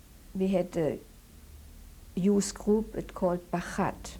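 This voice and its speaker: A woman talks at a very slow pace in a dark, mellow tone with vocal fry. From Germany (Dortmund). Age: 70s. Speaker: Holocaust survivor. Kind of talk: oral history interview. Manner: halting.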